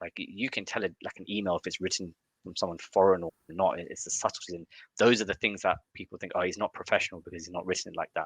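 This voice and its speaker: A man with an English accent speaks at a very fast pace with big swings in loudness, the sound dry and close with no echo. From UK, Indian family. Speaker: growth marketer. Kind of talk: interview conversation. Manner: halting, many restarts.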